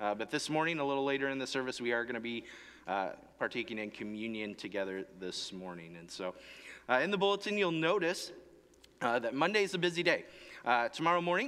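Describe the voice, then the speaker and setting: This man's tone is bright and sharp. He speaks at a very fast pace. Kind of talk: church announcements. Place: church.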